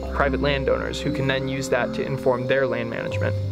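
A man is talking while clear music sounds in the background. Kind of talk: interview answer. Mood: enthusiastic, informative. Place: garden. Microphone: lapel.

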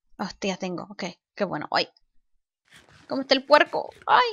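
A woman with a bright, sharp tone is captured in a very clean recording, silent in the background and dry and close with no echo. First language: English (speaking Spanish). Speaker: gaming YouTuber. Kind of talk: let's play commentary. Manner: halting.

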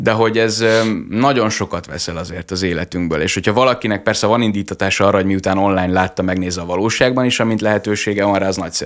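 Talking very fast, a man with a fairly low pitch uses ordinary pitch variation against a quiet background. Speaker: lawyer and TikTok vlogger; lawyer, TikTok vlogger. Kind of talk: radio interview. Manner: articulate and enthusiastic. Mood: friendly, smiling. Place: studio. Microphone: studio mic.

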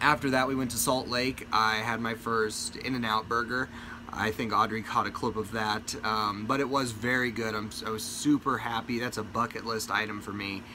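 A man talks at a moderate pace with hardly any pauses. His intonation is fairly even, and there is noticeable background noise. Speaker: family vlogger. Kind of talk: casual vlog chat. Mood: mildly disappointed. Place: home room. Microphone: phone near.

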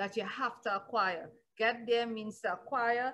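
Delivered in a normal speaking voice, the speech has a moderate pace and fairly even intonation. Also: woman. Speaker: pastor. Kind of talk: sermon, Bible teaching. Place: home room. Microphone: webcam.

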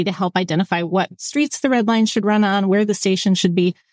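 This is a normal speaking voice from a woman, medium in pitch with fairly even intonation. The sound is dry and close with no echo, on a very clean recording with a silent background. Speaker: transit agency executive. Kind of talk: interview.

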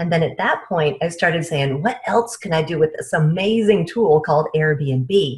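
A woman's somewhat breathy, fairly low voice at a moderate pace with ordinary pitch variation, over a quiet background. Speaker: remote podcast guest. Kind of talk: interview answer. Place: home room. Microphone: earbuds.

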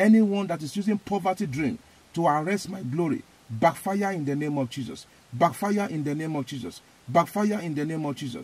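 A man with a Nigerian accent talks at a moderate pace and a fairly high pitch. His intonation is lively, and the sound is dry with no echo. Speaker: evangelist. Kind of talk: fervent prayer, loud command-style declarations, repeating phrases with rising intensity. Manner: emphatic, repetitive, forceful.

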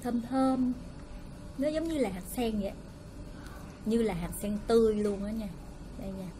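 At a fairly slow pace, a woman speaks with ordinary pitch variation over light background noise. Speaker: food vlogger. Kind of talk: casual vlog chat. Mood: cheerful, friendly. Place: home room. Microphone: phone near.

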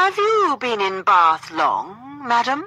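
A put-on character voice crawls along at a very slow pace with very wide pitch swings. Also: woman. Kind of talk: exaggeratedly polite. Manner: overly courteous.

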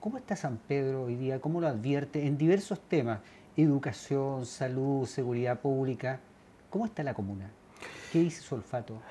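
A man of medium pitch with a dark, mellow tone, somewhat breathy, with lively intonation at a moderate pace over light background noise. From Chile. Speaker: TV news host. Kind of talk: TV interview. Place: studio.

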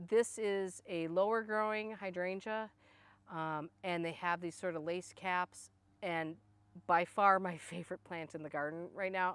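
A woman has a normal speaking voice with a fairly low pitch and fairly even intonation. She keeps a moderate pace, and the sound is dry with no echo. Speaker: garden blogger. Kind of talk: casual garden tutorial. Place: garden.

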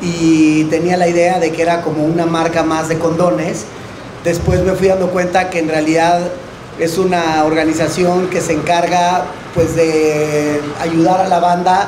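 Against noticeable background noise, the speaker delivers words at a fairly slow pace in a monotone, flat intonation. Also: man, high pitch for a man. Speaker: panelist. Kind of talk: panel talk to audience. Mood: relaxed, joking. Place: cafe. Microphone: handheld.

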